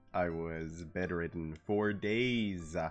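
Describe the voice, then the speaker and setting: A man speaks with a very deep, low pitch and a relaxed tone. Music plays in the background. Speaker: gaming streamer. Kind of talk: casual livestream talk. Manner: relaxed, chatty.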